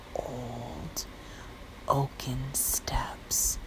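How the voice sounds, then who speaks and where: Whispered speech from a woman, noticeable background noise behind it. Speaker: fitness trainer. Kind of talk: bedtime story. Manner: whispered, soft.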